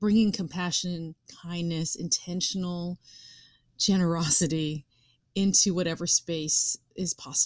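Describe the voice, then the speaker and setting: An ordinary speaking voice from a woman with an American accent, fairly low in pitch, at a fairly slow pace with fairly even intonation, on a very clean recording with a silent background and a dry, close sound with no echo. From suburbs of New York City. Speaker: actress and writer. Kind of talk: interview conversation.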